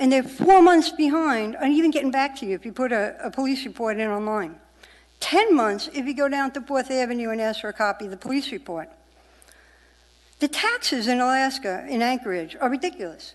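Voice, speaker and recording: With a New York accent, a woman talks fairly quickly in a high-pitched voice. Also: lively intonation. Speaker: member of the public testifying. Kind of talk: public testimony. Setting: municipal assembly meeting. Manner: animated.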